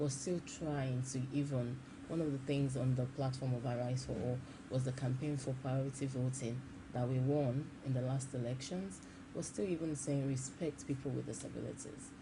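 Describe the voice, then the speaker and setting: In a Nigerian accent, a woman speaks at a moderate pace in a very deep, low pitch, somewhat breathy with a dark, mellow tone and audible room echo. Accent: Nigerian accent now. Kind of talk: TV interview. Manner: halting, frequent repetitions.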